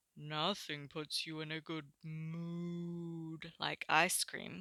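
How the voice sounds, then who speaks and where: A put-on character voice at middle pitch, very slow in pace. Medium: read story.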